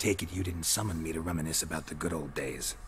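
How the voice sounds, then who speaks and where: In a put-on character voice with a very deep, low pitch, a man talks at a very fast pace over clear background noise. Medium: video game. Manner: dry, deadpan.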